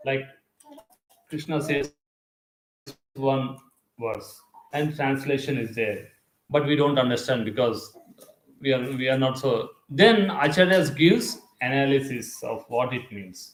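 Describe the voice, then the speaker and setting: A man with a Telugu accent speaks at a fairly slow pace, pausing long and often. His pitch is fairly high, with ordinary variation. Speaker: spiritual teacher. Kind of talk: lecture. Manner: conversational, halting with fillers.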